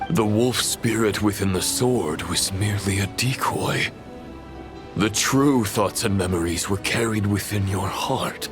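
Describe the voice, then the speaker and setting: Over loud background music, a man in a cartoonish character voice speaks at a fairly low pitch and a fairly slow pace. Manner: formal, measured.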